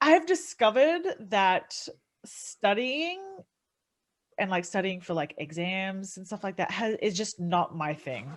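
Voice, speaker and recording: A woman with an Australian accent at a medium pitch, with very wide pitch swings, big swings in loudness, long, frequent pauses, and a very clean recording with a silent background. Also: fairly slow pace. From Australia, city. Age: 30s. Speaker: MMA fighter and streamer. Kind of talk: casual podcast interview. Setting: podcast.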